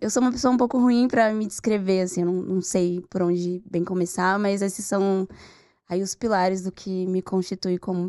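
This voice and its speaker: A woman speaks with a dark, mellow tone at a medium pitch and ordinary pitch variation. The background is quiet. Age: 20s. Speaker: journalist. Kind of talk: podcast interview.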